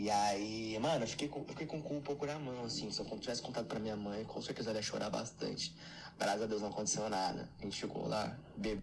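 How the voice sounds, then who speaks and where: A man speaks at a very fast pace in a fairly low pitch, with ordinary pitch variation. Noticeable background noise and audible room echo fill the recording. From Brazil, São Paulo. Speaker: listener sharing a story, aspiring comedian.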